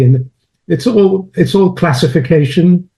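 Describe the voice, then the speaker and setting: A man in a British accent speaks at a moderate pace, somewhat breathy, with a dark, mellow tone. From London, England. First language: French. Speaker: chemist and philosopher of science. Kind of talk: interview.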